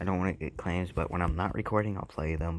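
A man's very deep, low voice with vocal fry and ordinary pitch variation. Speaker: gaming YouTuber. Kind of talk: gameplay commentary.

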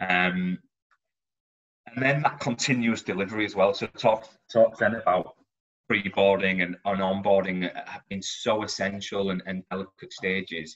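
Fairly low pitch from a man, a moderate pace, and intonation that stays fairly even. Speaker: recruitment manager; presenter. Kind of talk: presentation. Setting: video call. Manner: halting, many fillers and repetitions. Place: home room. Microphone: video call.

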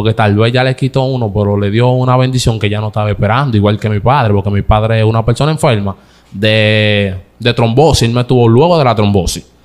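A man talks at a fairly quick pace with fairly even intonation. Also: medium pitch for a man. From Dominican Republic, San Isidro, Santo Domingo Este; Dominican Republic. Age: 20s. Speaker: comedian. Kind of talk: interview. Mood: earnest, emotional at times. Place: studio. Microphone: studio mic.

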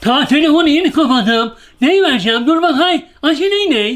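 The speaker uses a put-on character voice. It is high in pitch and moves at a moderate pace. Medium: comedy sketch. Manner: gruff, commanding.

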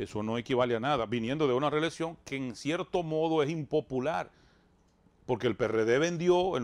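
A man speaks at a moderate pace in a normal speaking voice with ordinary pitch variation. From Dominican Republic, rural Bánica; Dominican Republic. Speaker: radio and TV show host; radio, TV show host. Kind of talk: interview, political talk. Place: studio. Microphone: lapel.

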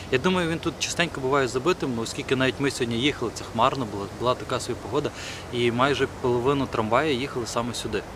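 A man talks at a very fast pace with a medium pitch and ordinary pitch variation. The sound is dry with no echo, though background noise is noticeable. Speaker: vlogger. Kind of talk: casual vlog. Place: forest.

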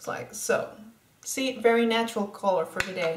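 A woman's voice amid noticeable background noise. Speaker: beauty vlogger. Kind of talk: casual makeup tutorial chat. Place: home room. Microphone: webcam.

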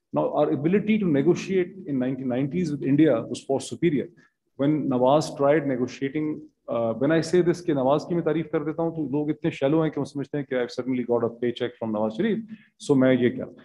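Pitched fairly high, this man talks at a very fast pace. His pitch variation is ordinary. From Pakistan. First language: Urdu. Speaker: seminar panelist; panelist. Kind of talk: panel discussion. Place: hall. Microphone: podium.

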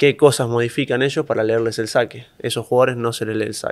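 A man speaks very fast with a Rioplatense accent and flat, monotone intonation. The background is quiet. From Argentina. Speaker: professional tennis player; interview guest. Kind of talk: interview. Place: studio. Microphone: studio mic.

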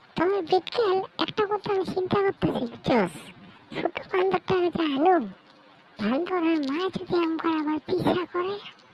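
A cartoonish character voice at an extremely high pitch and a moderate pace. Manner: chatty, rustic, conspiratorial.

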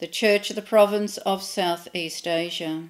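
A woman's fairly slow, monotone delivery with flat intonation and an Australian accent, over a quiet background. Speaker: clergy leading prayer. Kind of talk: read prayers of intercession. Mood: calm, reverent. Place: home room.

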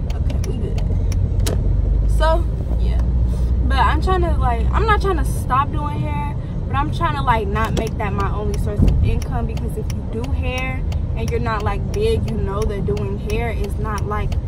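A woman at a fairly slow pace with ordinary pitch variation, in a dry sound with no echo, over loud background noise. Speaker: hair braider vlogger. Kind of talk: casual vlog chat. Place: car. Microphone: phone near.

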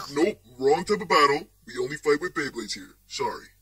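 A man puts on a character voice, pitched fairly high for a man, with lively intonation. His loudness swings widely. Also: fairly quick pace. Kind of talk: sports announcer parody. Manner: loud, hyped, scatterbrained.

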